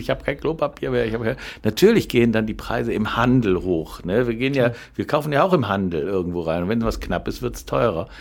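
Using a plain, everyday voice, a man speaks at a moderate pace and medium pitch. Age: 60s. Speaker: food wholesaler and podcast co-host. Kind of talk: casual chat.

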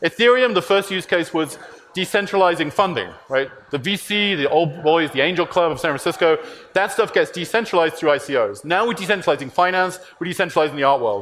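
With noticeable background noise behind him, a man with a British accent speaks at a fairly quick pace in a high pitch with lively intonation. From UK. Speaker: tech company CEO. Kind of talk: conference talk.

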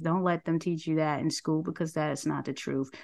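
A woman with a New York accent talks at a fairly low pitch against a quiet background. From New York City. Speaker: nonprofit director and talk show host. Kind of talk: interview.

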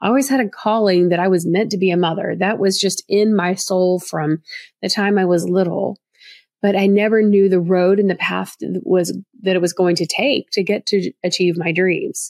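With a Southern US accent, a woman speaks at medium pitch in a warm tone, with fairly even intonation and very even loudness, in a dry, close sound with no echo. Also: moderate pace. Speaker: adoption profile expert and podcast host. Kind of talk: podcast monologue, informative and friendly. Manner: warm, friendly, conversational.

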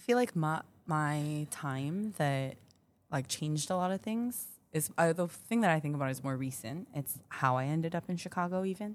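A woman's very deep, low voice with an American accent and lively intonation, on a very clean recording with a silent background. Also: moderate pace. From Minneapolis, US Midwest. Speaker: pastry cook, podcast co-host. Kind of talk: casual chat.

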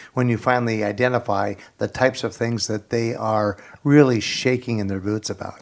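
In a plain, everyday voice, a man speaks at a fairly quick pace with fairly even intonation and a medium pitch. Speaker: co-host of radio program. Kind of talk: radio talk show discussion.

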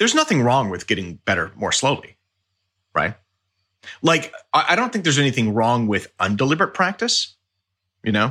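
A bright, sharp tone with vocal fry and very wide pitch swings, at a fairly quick pace but with long, frequent pauses, in a very clean recording with a silent background. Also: man, medium pitch for a man. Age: 40s. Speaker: orchestral timpanist. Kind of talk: casual interview.

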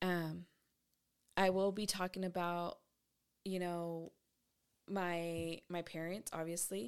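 A woman with a fairly low pitch speaks in a monotone, flat way. Her pace is very slow, with long, frequent pauses. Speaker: podcast host. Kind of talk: casual monologue. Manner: chatty, rambling.

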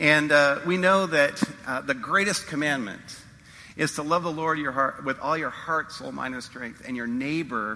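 Over noticeable background noise and audible room echo, a man with a fairly high pitch speaks at a moderate pace with ordinary pitch variation. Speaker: pastor. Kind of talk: sermon. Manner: hesitant, many fillers.

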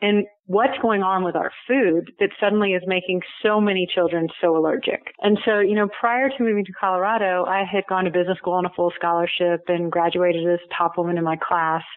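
Over noticeable background noise, a woman with an American accent speaks at a fairly quick pace with hardly any pauses, keeping a medium pitch, fairly even intonation and very even loudness. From Texas, Houston. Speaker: author and food safety advocate. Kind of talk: interview.

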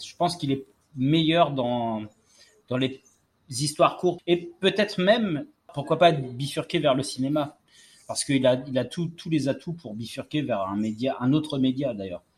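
This man has a fairly high pitch with ordinary pitch variation. His voice is somewhat breathy. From Martinique. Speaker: podcast host. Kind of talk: casual chat. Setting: outdoors on a terrace.

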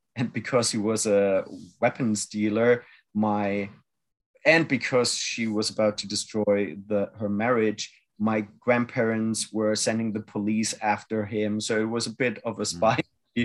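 Against a quiet background, a man with a German accent speaks in a monotone, flat intonation at a fairly slow pace. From Germany. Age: 40s. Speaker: activist, former adult film actor. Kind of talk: interview.

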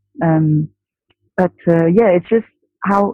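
A woman speaks with a French accent. Her intonation stays fairly even. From France. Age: 30s. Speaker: buyer in retail. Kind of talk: casual chat.

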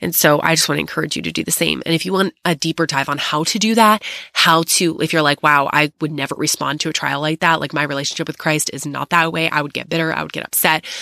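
Speaking at a very fast pace with hardly any pauses, this voice has vocal fry, a bright, sharp tone and fairly even intonation, recorded dry and close with no echo. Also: woman, very deep, low pitch for a woman. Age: 30s. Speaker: podcast host. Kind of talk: personal testimony. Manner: casual, frequent laughs.

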